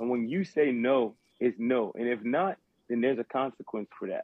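A man with a South Carolina accent, at a moderate pace. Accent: Southern US, South Carolina. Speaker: podcast co-host. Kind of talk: casual chat. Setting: group call.

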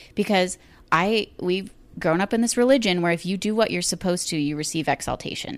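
On a very clean recording with a silent background, a woman speaks at a fairly quick pace, her medium pitch showing ordinary pitch variation. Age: 20s. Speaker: podcast guest, mother and student. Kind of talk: casual chat. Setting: home recording with USB microphone. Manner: fast.

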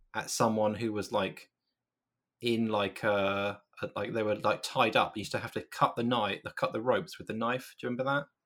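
Fairly quick speech from a man with a British accent at medium pitch, on a very clean recording with a silent background. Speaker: video game editor. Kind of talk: casual chat.

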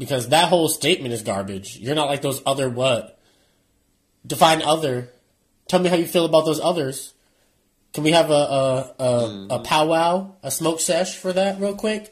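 Lively intonation and a moderate pace in a plain, everyday voice. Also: man, fairly high pitch for a man. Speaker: podcast guest or caller. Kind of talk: casual chat.

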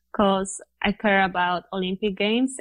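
Speaking with a Polish accent, a woman uses a medium pitch, fairly even intonation and a fairly slow pace. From Poland, small mountain town. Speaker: professional cyclist. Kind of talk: interview.

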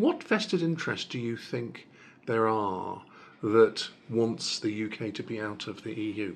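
In a normal speaking voice, a man speaks at a fairly slow pace with a medium pitch and ordinary pitch variation. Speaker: newspaper reporter and podcast host. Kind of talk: interview conversation.

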